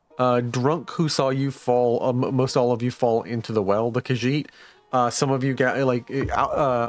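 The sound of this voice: Unforced voice reading aloud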